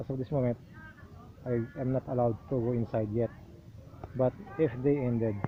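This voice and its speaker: Soft-spoken and monotone, a man talks at medium pitch and a fairly quick pace, broken up by long, frequent pauses. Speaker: travel vlogger. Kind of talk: travel vlog narration. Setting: outdoors. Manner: soft-spoken, lowered voice.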